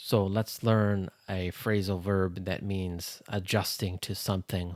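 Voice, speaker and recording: A man with a Canadian accent speaks in a very deep, low voice at a fairly slow pace, his intonation monotone and flat. The very clean recording has a silent background and a dry, close sound with no echo. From Canada. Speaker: English teacher. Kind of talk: English lesson podcast. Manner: slow, clear.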